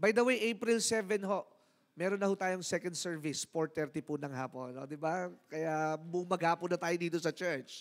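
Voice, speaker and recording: Over a quiet background, a man with a high-pitched voice speaks at a moderate pace with ordinary pitch variation. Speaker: church pastor or service leader. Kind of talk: church announcements and closing blessing; church announcements and sermon talk. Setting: church. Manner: warm, upbeat, leading praise. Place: church. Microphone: handheld.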